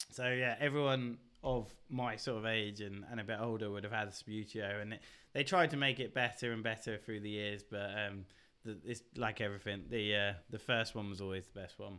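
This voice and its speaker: Fairly low male voice with a southern English accent, moderate pace and fairly even intonation. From southern England. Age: 30s. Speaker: podcast guest. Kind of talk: casual chat.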